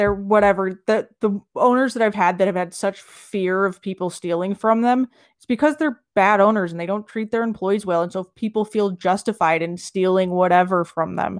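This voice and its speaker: A woman with an ordinary speaking voice, medium in pitch with ordinary pitch variation, at a moderate pace, her loudness swinging widely, the sound dry and close with no echo. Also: very clean recording, silent background. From Los Angeles and Southern Utah, US. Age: 30s. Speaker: restaurant owner in recovery. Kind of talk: casual interview.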